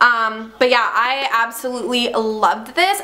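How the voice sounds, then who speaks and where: Amid noticeable background noise, a woman speaks at a high pitch. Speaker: mommy vlogger. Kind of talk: casual product review vlog. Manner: fast.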